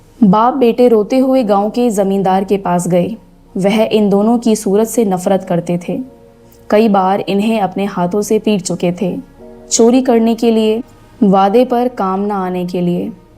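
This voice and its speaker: A woman's medium-pitched voice keeps fairly even intonation as music plays in the background. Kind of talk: audiobook narration of a classic short story.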